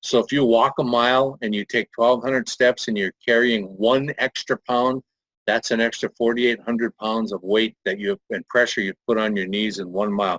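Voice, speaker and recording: A man speaks at a moderate pace with hardly any pauses, his pitch medium and his intonation fairly even. He has an ordinary speaking voice. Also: dry, close sound with no echo. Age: 60s. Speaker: network marketing presenter. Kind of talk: sales pitch. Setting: webinar.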